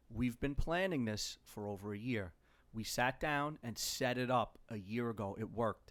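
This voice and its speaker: The recording is very clean, with a silent background. A man talks at medium pitch and a moderate pace, with ordinary pitch variation. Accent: New York. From New York (Queens). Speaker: podcast co-host, YouTuber, father. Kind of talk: casual family chat. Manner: animated.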